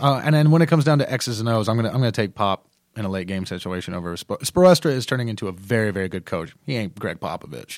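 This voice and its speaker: A man with a medium pitch talks at a very fast pace, his pitch swinging very widely. The recording is very clean and dry, with a silent background, a close sound and no echo. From North Carolina. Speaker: sports fan guest. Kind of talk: casual chat. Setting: studio.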